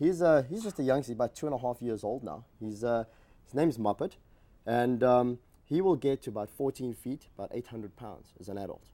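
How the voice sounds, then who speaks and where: With a South African accent, a man speaks at a fairly quick pace in a medium pitch and a dark, mellow tone. His intonation is lively and his loudness swings a lot. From South Africa, Johannesburg. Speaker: reptile zoo educator. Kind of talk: TV talk show interview.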